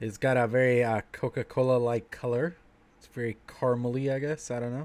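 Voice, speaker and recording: Talking at a fairly quick pace, a man has an unremarkable speaking voice with a medium pitch. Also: big swings in loudness. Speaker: vlogger reviewing beer on livestream. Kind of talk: casual livestream chat.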